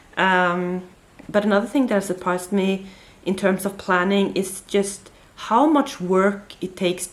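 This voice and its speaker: Speaking at a fairly slow pace, a woman talks in a Norwegian accent at a medium pitch. Her pitch variation is ordinary, but her loudness swings a lot. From Norway. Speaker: book vlogger. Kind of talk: casual chat. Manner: hesitant, many fillers.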